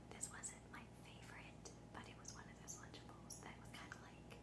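A soft-spoken woman whispers at a moderate pace. Loud background noise runs behind her. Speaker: food vlogger. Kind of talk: casual vlog chat. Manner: soft ASMR whisper. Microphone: phone near.

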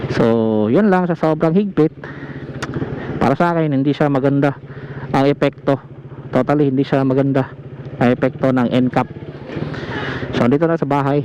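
A man with a fairly high pitch speaks at a moderate pace with ordinary pitch variation, leaving long, frequent pauses over noticeable background noise. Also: very even loudness. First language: Cebuano (speaking Tagalog). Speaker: motovlogger. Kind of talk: casual vlog commentary while riding. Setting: outdoors on a motorcycle.

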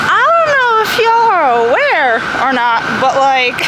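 A woman speaks at a fairly slow pace. Audible room echo and loud background noise fill the recording. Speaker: vlogger. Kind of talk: casual vlog chat. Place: street. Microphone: phone near.

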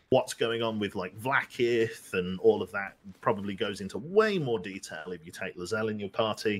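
A man with an unremarkable speaking voice, fairly low pitch, ordinary pitch variation, a moderate pace and hardly any pauses. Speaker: gamer playing co-op with the streamer. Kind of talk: casual chat.

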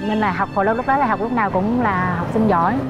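A woman speaks at a fairly quick pace. Loud music plays behind her. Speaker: interviewee. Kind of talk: interview answer. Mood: cheerful, laughing while recounting hardship. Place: garden.

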